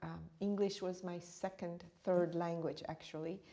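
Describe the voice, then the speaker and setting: A woman's fairly low, dark and mellow voice in an East African accent, with monotone, flat intonation at a moderate pace. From born in Uganda, raised partly in India, then New York. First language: Swahili. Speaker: meditation teacher and author. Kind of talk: interview.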